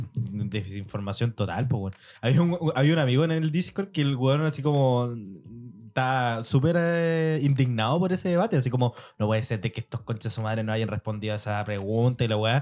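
With a Chilean accent and lively intonation, a man at a medium pitch talks at a fairly quick pace over music in the background. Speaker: podcast co-host. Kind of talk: casual chat.

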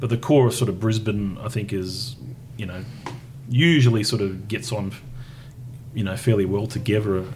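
In an Australian accent, a man speaks at a fairly low pitch with ordinary pitch variation and long, frequent pauses. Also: moderate pace. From Tasmania, Australia. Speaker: podcast host. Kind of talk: casual interview. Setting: in person.

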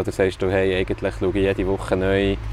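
There is noticeable background noise behind a man speaking with a Swiss German accent. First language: Swiss German (speaking German). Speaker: football club podcast host. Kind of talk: casual interview. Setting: clubhouse container.

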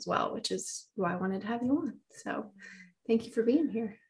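A woman's somewhat breathy voice is heard on a very clean recording against a silent background. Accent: American. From US South. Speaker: podcast host and financial professional. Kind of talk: interview.

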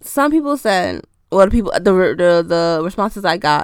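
On a very clean recording with a silent background, a woman speaks at a fairly slow pace and a medium pitch. Her tone is animated, and her pitch swings very widely. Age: 20s. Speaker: podcast host. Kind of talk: casual solo monologue.

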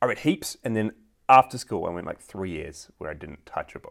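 A man speaks with a New Zealand accent at a moderate pace. His fairly low voice carries lively intonation. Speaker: podcast co-host. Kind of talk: casual chat.

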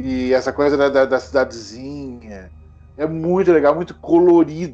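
Music plays behind a man with a fairly high voice. He speaks at a fairly slow pace with ordinary pitch variation. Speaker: horror film YouTuber. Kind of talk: casual chat. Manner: halting, repeats words.

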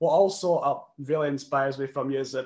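Delivered at a fairly quick pace with fairly even intonation, this is an ordinary speaking voice. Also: man. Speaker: interviewer. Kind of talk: interview.

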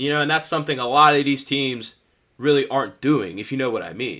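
A man with an American accent, fairly high pitch, a bright, sharp and energetic tone, and a fairly quick pace, on a very clean recording with a silent background. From Pennsylvania, near Pittsburgh (New Kensington). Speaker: sports podcast host. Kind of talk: solo sports commentary podcast. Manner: casual, energetic.

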